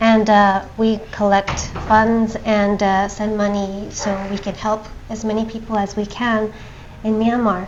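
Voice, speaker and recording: Over noticeable background noise, a woman speaks in a fairly high pitch with monotone, flat intonation. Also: fairly slow pace. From Japan, raised also in England, US, Hong Kong. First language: Japanese. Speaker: NGO founder and TV host. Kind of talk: interview. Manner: hesitant fillers.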